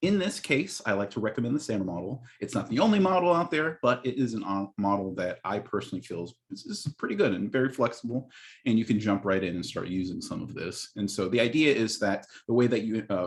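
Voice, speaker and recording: With lively intonation and hardly any pauses, a man talks fairly quickly at a medium pitch. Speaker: instructional technology specialist. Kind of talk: training webinar. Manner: fast.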